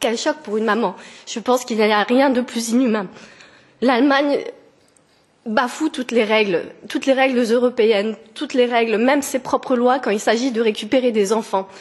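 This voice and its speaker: With long, frequent pauses at a moderate pace, a woman speaks in a high pitch and fairly even intonation over noticeable background noise. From France. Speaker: petitioner. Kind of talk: testimony. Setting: parliamentary committee hearing. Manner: halting, with hesitations.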